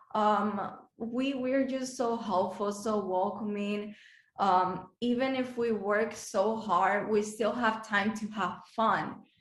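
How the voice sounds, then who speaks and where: The speaker has a slight Dominican accent and fairly even intonation, with audible room echo. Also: woman. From Dominican Republic. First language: Spanish. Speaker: beauty pageant contestant. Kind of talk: interview. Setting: video call. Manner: halting, many fillers.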